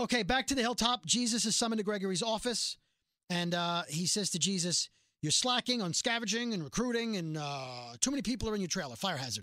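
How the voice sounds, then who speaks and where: A high-pitched man's raised, projected voice with a New York accent, bright and sharp in tone, with lively intonation and a very fast pace, on a very clean recording with a silent background. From Brooklyn, New York. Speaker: podcast host. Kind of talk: casual chat about a TV show. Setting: studio.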